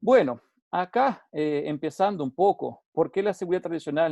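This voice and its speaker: Against a quiet background, a man talks at a moderate pace with a dark, mellow tone and lively intonation, the sound dry and close with no echo. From Uruguay. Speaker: safety consultant. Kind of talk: webinar lecture. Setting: online webinar. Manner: halting, with frequent repetitions and fillers.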